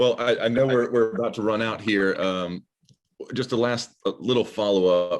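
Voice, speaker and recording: A man speaks with a Southern US accent at a moderate pace. His pitch is medium, with ordinary pitch variation. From Alabama. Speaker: automotive journalist. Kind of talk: interview. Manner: halting.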